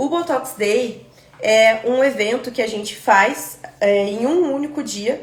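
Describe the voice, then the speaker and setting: Someone with a Brazilian accent speaks at a very slow pace with ordinary pitch variation, amid noticeable background noise and audible room echo. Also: woman, high pitch for a woman. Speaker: aesthetic pharmacist teaching a course. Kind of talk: live online class. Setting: live stream.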